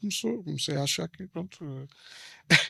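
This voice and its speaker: On a very clean recording with a silent background and a dry, close sound with no echo, a man speaks with an Alentejo accent and ordinary pitch variation. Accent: Alentejo accent, Mourão. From Portugal, Alentejo (Mourão). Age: 40s. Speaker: former seminarian giving faith testimony. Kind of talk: interview testimony.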